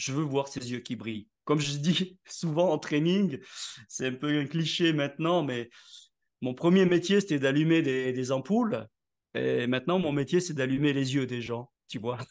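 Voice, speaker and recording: A man speaks in a plain, everyday voice, fairly high in pitch with ordinary pitch variation. The background is quiet. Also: fairly slow pace. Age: 60s. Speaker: network marketing leader, author and speaker. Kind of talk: interview.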